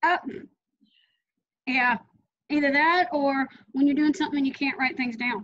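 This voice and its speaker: Moderate pace, long and frequent pauses, ordinary pitch variation. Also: woman, high pitch for a woman. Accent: American. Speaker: author and interview host. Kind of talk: interview.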